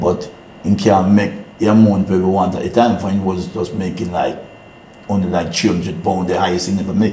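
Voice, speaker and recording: A man with a Jamaican accent talks at a fairly quick pace in a very deep, low pitch, his intonation monotone and flat, with audible room echo and noticeable background noise. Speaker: business owner. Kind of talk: interview. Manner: halting; quiet.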